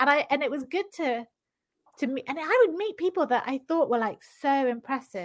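Lively intonation in a British accent. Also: woman, high pitch for a woman, moderate pace. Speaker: novelist. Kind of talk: casual interview chat. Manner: chatty, laughs often.

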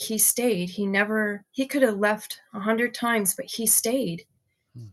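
With an American accent and an unremarkable speaking voice, a woman talks at a fairly slow pace, her fairly high pitch showing ordinary variation. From Michigan. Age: 50s. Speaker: guest giving testimony. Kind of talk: testimony.

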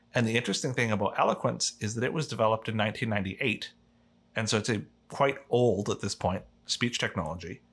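A man speaks at a fairly quick pace with a fairly low pitch and ordinary pitch variation. It is a plain, everyday voice. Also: very clean recording, silent background. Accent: Canadian. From Canada. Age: young. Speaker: accessibility advocate. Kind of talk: interview conversation.

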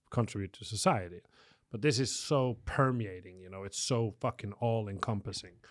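A man talks in an unremarkable speaking voice, fairly low in pitch with ordinary pitch variation. The recording is very clean, with a silent background. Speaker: photographer and studio owner. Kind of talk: casual chat.

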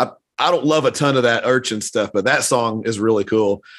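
On a very clean recording with a silent background, a man talks at a moderate pace and medium pitch with ordinary pitch variation, an unremarkable speaking voice. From US South. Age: 50s. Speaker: podcast host. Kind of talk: casual chat.

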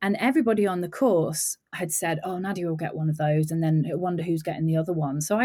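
At a very fast pace, a woman with a fairly low pitch and a somewhat breathy voice speaks with ordinary pitch variation on a very clean recording with a silent background. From English Midlands. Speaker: film makeup and hair designer. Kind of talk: casual interview chat.

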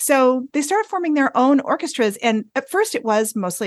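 A woman with an American accent uses an ordinary speaking voice and lively intonation. The sound is dry and close with no echo, over a quiet background. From US Northeast, rural northern Vermont. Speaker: music professor and tuba player. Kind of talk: interview.

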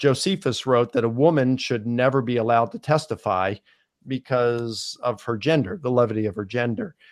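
A man's plain, everyday voice at medium pitch, with ordinary pitch variation and a moderate pace, on a very clean recording with a silent background. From US Mid-Atlantic (Baltimore, Maryland). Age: 50s. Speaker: scholar. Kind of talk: podcast interview.

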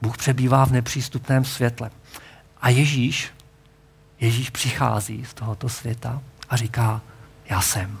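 A somewhat breathy man talks at a fairly slow pace in a monotone, flat intonation, with long, frequent pauses. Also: medium pitch for a man. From Czechia, Hradec Králové region. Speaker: pastor. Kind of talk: sermon.

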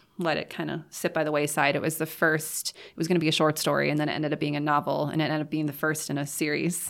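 Over a silent background in a very clean recording, a woman with a very deep, low pitch talks very fast in a monotone, flat way, hardly pausing at all. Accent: American. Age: 30s. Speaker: fantasy author and creative writing teacher. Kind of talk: casual interview chat.

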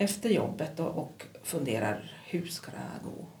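Audible room echo and noticeable background noise fill this clip. The woman talks at a fairly slow pace. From Kiruna, Norrbotten, northern Sweden. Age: 50s. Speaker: psychiatric nurse. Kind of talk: interview.

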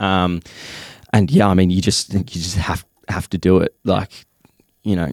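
In an Australian accent, a man speaks with a dry, close sound and no echo. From Western Australia. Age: 20s. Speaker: fitness content creator. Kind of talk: casual chat.

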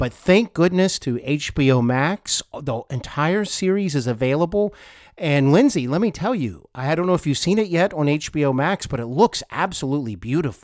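On a very clean recording with a silent background, a man with an unremarkable speaking voice and a fairly high pitch talks at a moderate pace, his intonation lively and his speech with hardly any pauses. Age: 40s. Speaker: podcast host. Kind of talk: interview.

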